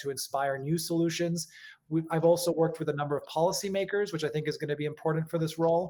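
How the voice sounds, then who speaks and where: A very fast, monotone man's voice with flat intonation, a fairly high pitch and an American accent, on a very clean recording with a silent background. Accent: sounds American. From Europe, mixed Czech and British family, lived in several countries. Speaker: urban agriculture consultant. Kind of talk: conference self-introduction.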